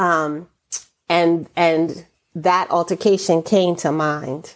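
A woman with an American accent speaks at a very slow pace in a very deep, low voice, her intonation fairly even. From New York City, Brooklyn. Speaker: retired teacher and poet. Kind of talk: poetry reading and interview.

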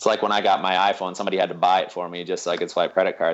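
The voice belongs to a man with a very deep, low pitch. He talks in an American accent. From US Midwest, Minnesota. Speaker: pastor and hunger-relief organizer. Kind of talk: podcast interview.

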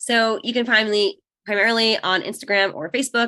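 A woman speaks in a New York accent. Her tone is bright and sharp. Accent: American (New York) English. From New York, then Israel from age 13. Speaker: online business owner and mother of five. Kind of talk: podcast interview. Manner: casual, halting with fillers.

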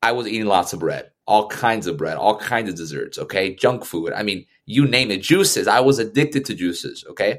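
This man has a normal speaking voice, medium in pitch, with lively intonation at a moderate pace. The recording is very clean, with a silent background. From Puerto Rico and Orlando, Florida. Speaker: entrepreneur. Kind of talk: interview.

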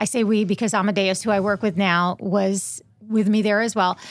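This is a normal speaking voice at a moderate pace with fairly even intonation, captured in a very clean recording with a silent background. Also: woman. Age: 50s. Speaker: radio host and podcaster. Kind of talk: casual interview chat.

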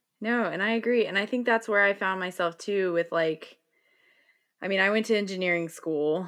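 An unremarkable speaking voice from a woman with an American accent, medium pitch, ordinary pitch variation and a moderate pace, over a quiet background. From US South, North Carolina. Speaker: podcast host, yoga guide. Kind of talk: casual interview conversation.

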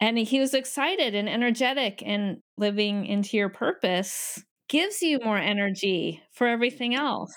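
In a very clean recording with a silent background, a woman with an ordinary speaking voice and a fairly high pitch talks at a moderate pace with lively intonation, very even loudness and hardly any pauses. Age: 50s. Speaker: podcast host and life coach. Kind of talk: casual chat; scripted introduction.

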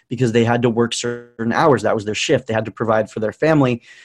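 Recorded dry and close with no echo, a man speaks with an ordinary speaking voice at medium pitch and fairly even intonation. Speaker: social media marketing expert. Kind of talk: interview.

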